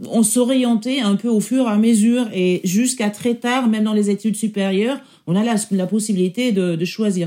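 A woman speaks at a fairly high pitch with a dark, mellow tone. Her voice is somewhat breathy and her intonation fairly even. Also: moderate pace, very even loudness. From Germany. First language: German (speaking French). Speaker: senior public sector executive. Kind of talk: interview testimony. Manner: halting.

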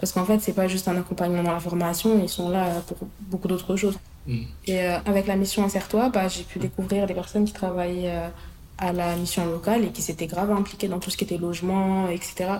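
The speech moves at a fairly quick pace. The intonation is monotone and flat. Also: woman, medium pitch for a woman. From Paris suburbs (Hauts-de-Seine). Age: 20s. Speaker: young worker in social housing. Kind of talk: interview testimony. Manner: hesitant, many fillers.

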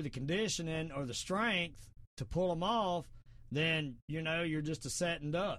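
Here a man speaks with a Southern US accent. His voice is high, with ordinary pitch variation. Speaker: podcast host and martial arts expert. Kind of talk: casual talk show monologue. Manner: informal, rambling, opinionated.

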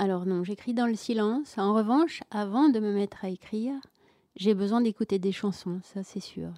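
On a very clean recording with a silent background and a dry, close sound with no echo, a woman speaks at a fairly slow pace with a dark, mellow tone and medium pitch. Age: 60s. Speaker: first-time novelist. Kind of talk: radio interview. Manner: halting, many repeated words.

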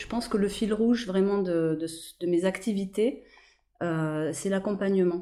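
A woman speaks at a fairly slow pace with a dark, mellow tone, a medium pitch and ordinary pitch variation. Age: 40s. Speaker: hypnotherapist and energy healer. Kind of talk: interview.

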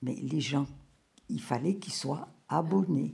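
This woman's somewhat breathy voice has a dark, mellow tone and very wide pitch swings. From Morocco (Rabat). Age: 80s+. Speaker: grandmother telling her life story. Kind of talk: testimony. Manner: halting.

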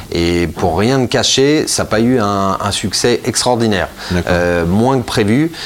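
Noticeable background noise sits under speech that has ordinary pitch variation. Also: man. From Italy. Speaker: wine school founder and wine shop owner. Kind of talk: interview. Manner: halting, many fillers and repetitions.

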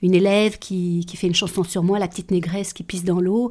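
A woman with a dark, mellow tone and a somewhat breathy voice talks at a fairly quick pace on a very clean recording with a silent background. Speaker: adoptee telling her life story. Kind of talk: testimony. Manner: halting, with many hesitations.

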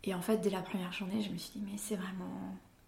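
A somewhat breathy female voice with audible room echo. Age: 30s. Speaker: wood turner and cabinetmaker. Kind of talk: interview. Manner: halting.

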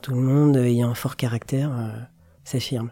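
A man with a dark, mellow tone speaks at a medium pitch and moderate pace with fairly even intonation, in a very clean recording with a silent background. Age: 40s. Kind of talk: interview testimony. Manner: reflective, measured.

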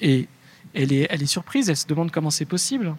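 At a fairly quick pace, a man talks in a fairly high, somewhat breathy voice with ordinary pitch variation. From Lyon, France. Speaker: radio podcast producer. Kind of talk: panel discussion.

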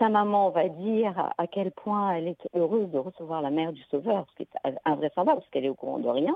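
Talking at a fairly quick pace, a woman with a normal speaking voice and fairly low pitch uses lively intonation and big swings in loudness. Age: 50s. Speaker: geneticist, researcher. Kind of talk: testimony in radio interview.

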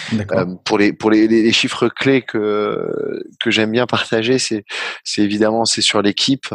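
Fairly low-pitched man at a fairly slow pace, in a dry, close sound with no echo. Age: 30s. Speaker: startup founder and executive. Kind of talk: interview.

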